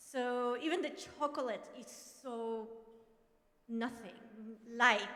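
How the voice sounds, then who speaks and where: A loud woman's high voice in a Mexican accent, bright and sharp, at a very slow pace with long, frequent pauses, ordinary pitch variation and audible room echo. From Mexico, Monterrey. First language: Spanish. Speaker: professor. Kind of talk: personal testimony.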